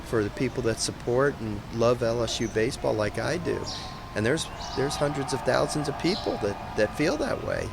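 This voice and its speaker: A man speaks fairly quickly with ordinary pitch variation, his voice carrying audible room echo over noticeable background noise. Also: medium pitch for a man. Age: 60s. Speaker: college baseball head coach. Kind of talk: press conference remarks.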